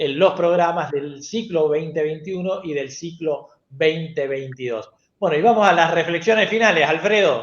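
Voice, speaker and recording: This man's voice is high in pitch. It rises and falls in an ordinary way. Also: moderate pace. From Argentina. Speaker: TV show host, educational technology specialist. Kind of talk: panel show closing.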